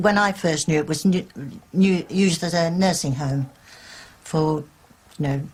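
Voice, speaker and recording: This woman has a fairly low, somewhat breathy voice, speaking at a moderate pace with fairly even intonation and long, frequent pauses. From England, Wigginton. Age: 70s. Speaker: local resident and witness. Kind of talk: interview.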